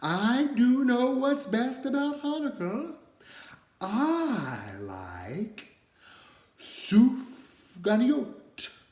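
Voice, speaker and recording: A cartoonish character voice, fairly high in pitch, at a very slow pace. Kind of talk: children's puppet show. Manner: upbeat.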